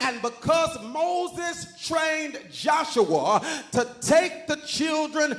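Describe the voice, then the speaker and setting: There is noticeable background noise behind a man whose voice is extremely high-pitched. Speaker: preacher. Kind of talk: sermon to a congregation.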